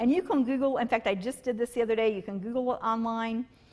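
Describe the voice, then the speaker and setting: With an unremarkable speaking voice, a woman talks at a fairly quick pace and fairly high pitch on a very clean recording with a silent background. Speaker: counselor. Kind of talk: casual conversation. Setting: church live stream.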